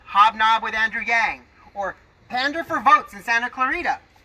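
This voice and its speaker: A man speaks in a raised, projected voice. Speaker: political speaker. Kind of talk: scripted political speech. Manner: some stuttering. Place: open country. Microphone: camera far.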